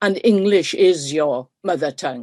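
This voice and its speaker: The speaker is a woman with a South Welsh accent. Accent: Welsh, south Wales dialect. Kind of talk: webinar talk. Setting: video call. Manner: hesitant with fillers.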